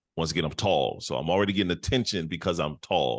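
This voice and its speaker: A man with an American accent, very deep and low in pitch with vocal fry and ordinary pitch variation, against a quiet background. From US Midwest, Detroit. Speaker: podcast co-host. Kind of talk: casual chat.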